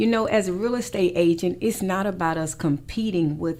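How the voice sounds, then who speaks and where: The woman's voice has ordinary pitch variation. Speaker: radio host and real estate broker. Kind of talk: radio show monologue. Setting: radio studio. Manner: fast.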